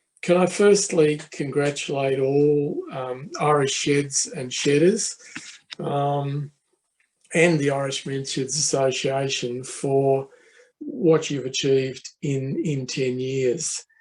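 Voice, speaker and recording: In an Australian accent, a man speaks at a very slow pace. His intonation stays fairly even. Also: fairly high pitch for a man. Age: 70s. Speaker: professor. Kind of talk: conference talk. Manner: hesitant, many fillers.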